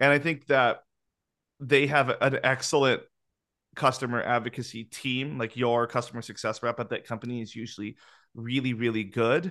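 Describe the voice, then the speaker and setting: Bright and sharp in tone, a man at medium pitch speaks with enthusiasm at a moderate pace against a quiet background. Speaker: podcast host. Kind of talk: casual chat. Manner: enthusiastic.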